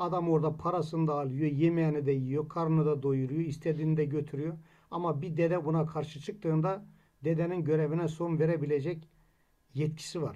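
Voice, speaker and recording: A man talks at a fairly quick pace with a fairly high pitch and a dark, mellow tone. His intonation is monotone and flat over a quiet background. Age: 60s. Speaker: Alevi congregation member; presenter. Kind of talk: commentary summary. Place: home room. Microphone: webcam.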